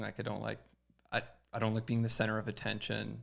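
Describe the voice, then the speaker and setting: Quiet and at a moderate pace, a man speaks with a Canadian accent. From Canada. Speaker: pro BMX rider. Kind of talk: casual chat. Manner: quiet, reserved.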